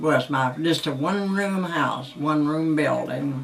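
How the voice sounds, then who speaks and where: A woman speaks at a very slow pace with a very deep, low pitch and ordinary pitch variation. Noticeable background noise is present. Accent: Southern US. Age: old. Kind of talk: interview answer.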